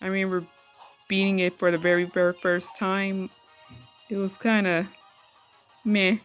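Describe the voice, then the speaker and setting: Music plays in the background as a woman speaks at a medium pitch in a monotone, flat intonation. She keeps a moderate pace with long, frequent pauses. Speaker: gaming YouTuber. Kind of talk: casual gaming talk to camera. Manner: stuttering.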